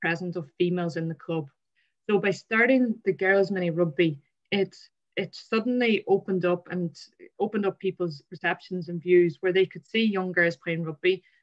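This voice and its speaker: A woman speaks with an Irish accent over a quiet background. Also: fairly even intonation, moderate pace. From Ireland. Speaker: sports administrator, former rugby player; presenter. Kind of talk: webinar presentation. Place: home room. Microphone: video call.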